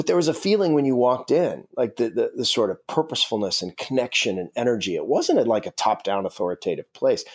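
A man talks at a very fast pace with hardly any pauses, in a very clean recording with a silent background and a dry, close sound with no echo. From Alaska. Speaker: author and journalist. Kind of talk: interview. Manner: halting, many repetitions and fillers.

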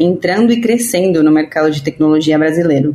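A woman with a Spanish accent speaks at a moderate pace against noticeable background noise. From Argentina. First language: Spanish (speaking Portuguese). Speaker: podcast host. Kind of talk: scripted narration.

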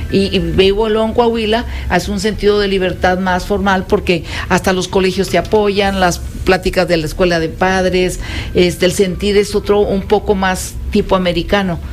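Noticeable background noise sits behind a woman's voice. Her intonation is monotone and flat. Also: medium pitch for a woman, moderate pace. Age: 70s. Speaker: mother and grandmother guest. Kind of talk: casual chat. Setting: radio studio.

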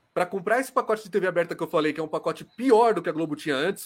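A man is speaking. His intonation is lively. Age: 30s. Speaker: sports journalist and YouTuber. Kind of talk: live show discussion.

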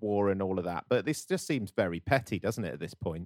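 In a very clean recording with a silent background and a dry, close sound with no echo, a man with an ordinary speaking voice talks fairly quickly at a fairly low pitch. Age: 30s. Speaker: comedy podcast host. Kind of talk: comedic casual chat.

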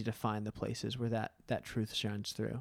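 This man sounds dry and close, with no echo. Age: 40s. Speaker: podcast host. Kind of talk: casual chat. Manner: fast talker.

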